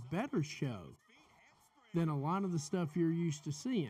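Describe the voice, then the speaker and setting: At a moderate pace, a man with a strong Southern US accent speaks high for a man in a dark, mellow tone with ordinary pitch variation. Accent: heavy southern US. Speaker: wrestling podcast host. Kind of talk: live watch-along commentary. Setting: live stream.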